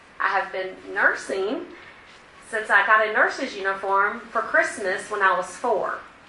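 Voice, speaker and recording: A woman of medium pitch with an American accent, speaking fairly slowly with ordinary pitch variation, amid noticeable background noise and audible room echo. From Virginia. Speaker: cardiac rehabilitation nurse. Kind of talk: talk to a community group. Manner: loud.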